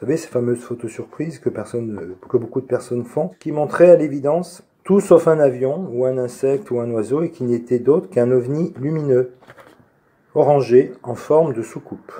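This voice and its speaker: The man's voice is medium in pitch, and his pitch shifts in an ordinary way. He talks at a moderate pace. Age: 50s. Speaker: UFO witness, amateur photographer. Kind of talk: testimony. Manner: hesitant, many filler sounds.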